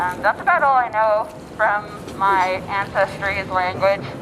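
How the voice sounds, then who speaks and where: A woman talks at a fairly slow pace with ordinary pitch variation. Background noise is noticeable throughout. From Western Canada. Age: 20s. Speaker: activist. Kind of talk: rally speech. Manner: halting, many fillers.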